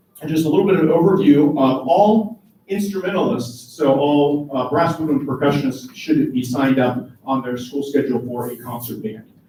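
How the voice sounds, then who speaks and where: Speaking with hardly any pauses, a man uses a fairly high pitch and ordinary pitch variation, with audible room echo around him. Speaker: high school band director. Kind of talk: informational meeting presentation. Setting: meeting room with parents, live streamed. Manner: fast.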